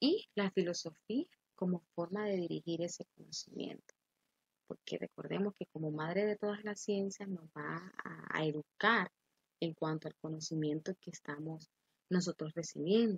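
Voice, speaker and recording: Somewhat breathy and fairly low, a woman's voice with a Honduran accent shows ordinary pitch variation in a dry, close sound with no echo. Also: fairly slow pace. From Honduras. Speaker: teacher. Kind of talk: lecture.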